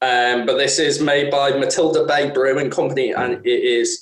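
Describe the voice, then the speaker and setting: The speaker is a man with a Merseyside accent. His pace is moderate. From northern England, Wirral. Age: 30s. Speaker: podcast co-host. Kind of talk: casual chat.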